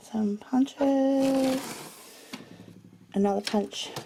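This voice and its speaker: A woman with an Australian accent talks over noticeable background noise. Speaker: crafter / vlogger. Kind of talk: home tour video. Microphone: poor compressed video quality.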